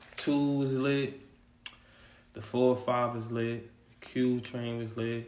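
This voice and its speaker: A man at medium pitch, very slow and monotone, with flat intonation and long, frequent pauses. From New York City. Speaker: singer, rapper and spoken word poet. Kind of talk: casual chat.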